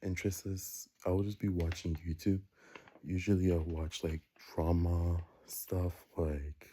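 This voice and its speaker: A quiet man's voice, very deep and low, dark and mellow, somewhat breathy, monotone and flat, with long, frequent pauses. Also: fairly slow pace. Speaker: vlogger. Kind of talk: casual monologue. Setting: home basement, early morning. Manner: rambling, hesitant with fillers.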